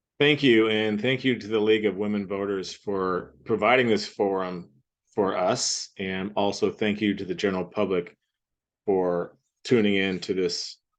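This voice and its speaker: A man with an American accent speaks at a fairly low pitch and fairly slow pace. His intonation is fairly even, with long, frequent pauses over a quiet background. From Washington State, US (Cle Elum). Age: 60s. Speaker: school board candidate. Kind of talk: candidate interview. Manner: halting, with fillers and restarts.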